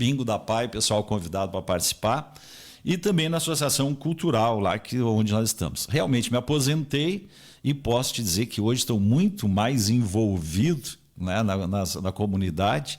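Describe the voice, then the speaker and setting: In a normal speaking voice, a man at medium pitch talks at a moderate pace with lively intonation and very even loudness, on a very clean recording with a silent background. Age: 60s. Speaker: retired civil servant and radio broadcaster. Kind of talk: radio interview. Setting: radio studio, also streamed live.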